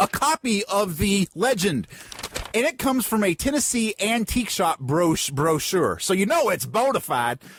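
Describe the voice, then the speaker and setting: A high-pitched man at a fairly slow pace with very wide pitch swings, dry and close with no echo, over noticeable background noise. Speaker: podcast co-host. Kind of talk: casual chat. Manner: animated.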